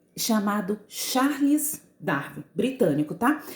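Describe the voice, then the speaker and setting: A woman's fairly high voice sounds somewhat breathy. She speaks at a fairly slow pace. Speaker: school teacher. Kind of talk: recorded lesson.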